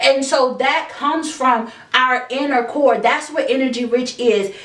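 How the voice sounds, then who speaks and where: With noticeable background noise and audible room echo, a woman at a high pitch talks at a fairly slow pace, her intonation fairly even and her loudness very even. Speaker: self-help podcast host. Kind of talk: motivational monologue. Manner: halting.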